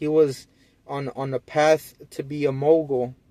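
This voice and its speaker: The man's voice is fairly high in pitch, with a dark, mellow tone and monotone, flat intonation. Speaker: vlogger. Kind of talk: casual monologue. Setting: parking lot. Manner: stuttering; casual slangy.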